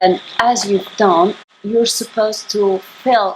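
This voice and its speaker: A woman with a non-native accent at a very slow pace, with light background noise. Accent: noticeable non-native. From Italy. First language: Italian. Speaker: YouTuber. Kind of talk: unboxing haul video. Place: home room. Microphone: phone near.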